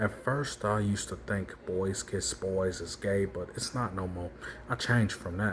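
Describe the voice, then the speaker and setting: In a normal speaking voice, a man talks fairly slowly at a fairly low pitch. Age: 20s. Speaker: vlogger. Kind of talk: personal monologue vlog.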